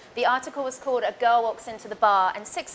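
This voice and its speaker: A woman with an English accent, fairly high in pitch, at a very fast pace with ordinary pitch variation. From England, London. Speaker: bartender. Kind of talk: tutorial. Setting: bar.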